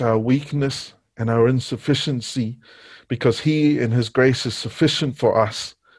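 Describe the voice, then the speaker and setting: Fairly slow, monotone speech with flat intonation in a Niuean accent. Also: man. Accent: Pacific Islander (Niuean) English. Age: young. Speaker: preacher. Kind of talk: sermon. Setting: church with congregation.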